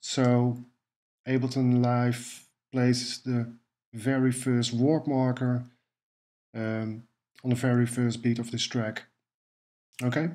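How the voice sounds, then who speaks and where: A man with a Dutch accent at a medium pitch, monotone and flat, with a dark, mellow tone, a very slow pace and long, frequent pauses. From Netherlands. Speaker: music production tutor. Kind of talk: tutorial. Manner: hesitant, with fillers.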